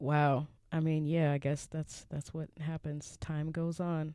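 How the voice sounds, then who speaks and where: A woman speaks with a dark, mellow tone and a very deep, low pitch. Her pace is moderate. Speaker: podcast host.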